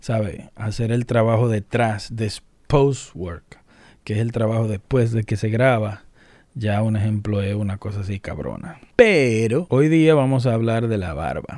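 Fairly slow in pace, this speaker's delivery has ordinary pitch variation. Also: man, medium pitch for a man. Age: 30s. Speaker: YouTuber. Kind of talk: casual vlog monologue. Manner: animated.

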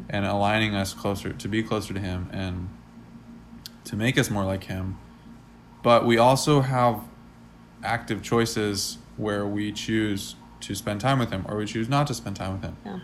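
Audible room echo around a man's fairly low voice, moderate pace, fairly even intonation and long, frequent pauses. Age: 20s. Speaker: podcast co-host and aspiring musician. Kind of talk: casual chat. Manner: frequent filler words.

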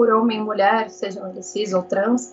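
A woman is speaking. Her pace is fairly slow. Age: 20s. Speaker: interviewee, history graduate. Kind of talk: interview.

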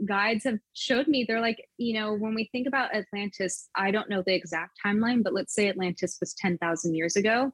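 Her intonation is lively and her voice somewhat breathy. The woman keeps a moderate pace with hardly any pauses. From California. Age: 30s. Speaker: intuitive channel and business coach. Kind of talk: casual interview conversation.

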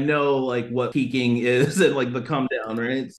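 This man's voice is at medium pitch with fairly even intonation. He goes at a moderate pace. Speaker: rapper and music producer. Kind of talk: casual chat.

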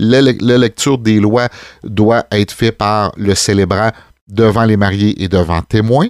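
Speaking with a Quebec accent, a man uses a fairly low pitch, fairly even intonation and a fairly slow pace on a very clean recording with a silent background and a dry, close sound with no echo. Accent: Québécois French. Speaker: wedding DJ and officiant, podcast host. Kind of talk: casual chat.

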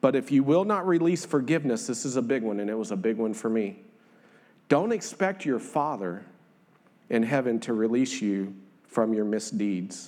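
With a Southern US accent, a man speaks at a moderate pace and medium pitch. His intonation is lively, and the room echo is audible. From northern Louisiana. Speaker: lay preacher. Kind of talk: sermon. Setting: church.

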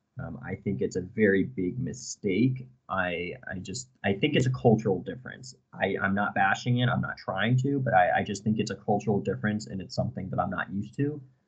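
A man with an American accent speaks at a fairly low pitch, his voice swinging very widely in pitch and dipping into vocal fry. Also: hardly any pauses. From US, Connecticut. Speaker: university student. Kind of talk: interview.

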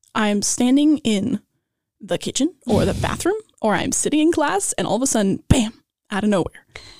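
A woman's normal speaking voice at a moderate pace, lively intonation, dry, close sound with no echo, and a very clean recording over a silent background. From Los Angeles. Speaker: student songwriter and actress. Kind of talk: casual interview.

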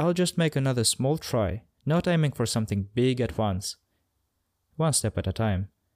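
A plain, everyday voice moves at a moderate pace with lively intonation. The recording is very clean and dry, close with no echo and a silent background. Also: man, medium pitch for a man. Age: 20s. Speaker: podcast host. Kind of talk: reflective monologue.

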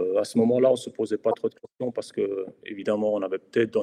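A man in a medium pitch speaks with fairly even intonation and a dark, mellow tone, the sound dry and close with no echo. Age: 40s. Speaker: amateur football club official. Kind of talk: casual chat.

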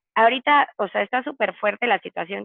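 A woman's very fast speech. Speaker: nutritionist. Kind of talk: casual interview.

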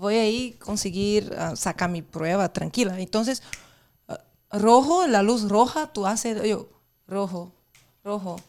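A woman at a medium pitch with a Portuguese accent, ordinary pitch variation, a very slow pace and long, frequent pauses. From Brazil. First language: Portuguese (speaking Spanish). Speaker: guest. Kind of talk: casual chat.

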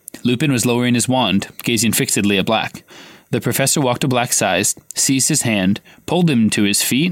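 Someone is doing plain reading aloud.

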